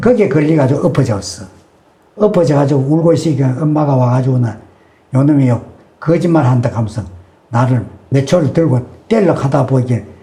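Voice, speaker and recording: Lively intonation from a fairly high-pitched man with a Gyeongsang accent. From Yeongju, North Gyeongsang, South Korea. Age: 80s+. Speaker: elderly man recounting wartime childhood. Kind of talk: oral history testimony.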